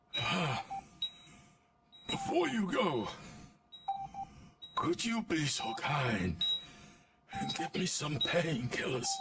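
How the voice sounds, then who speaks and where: A man uses a put-on character voice with a high pitch, speaking at a very slow pace. He leaves long, frequent pauses while sound effects play in the background. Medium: video game.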